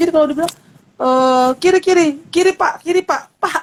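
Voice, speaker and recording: The dry, close sound of a woman's voice, with no echo. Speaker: seminary-trained church speaker. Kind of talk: online talk show interview. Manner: halting, many repetitions and fillers.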